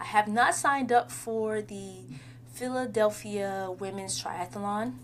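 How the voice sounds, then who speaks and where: A woman at a fairly slow pace, with very wide pitch swings, over noticeable background noise. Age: 30s. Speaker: podcast host. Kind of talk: casual solo monologue. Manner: rambling, conversational.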